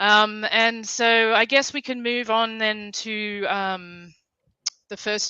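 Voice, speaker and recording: This is a woman speaking with an Australian accent. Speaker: livestream host. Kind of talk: casual chat.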